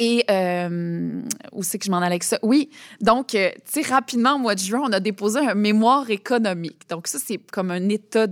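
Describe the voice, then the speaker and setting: The recording is very clean, the background silent, as a woman speaks in a plain, everyday voice. Her pitch is medium with ordinary variation, and her pace is moderate. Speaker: president of a theatre council. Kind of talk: interview.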